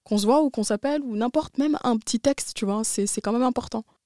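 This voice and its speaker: A woman speaks in a dark, mellow tone. Her pitch variation is ordinary. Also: dry, close sound with no echo. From France. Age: 20s. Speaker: university student. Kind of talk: casual chat.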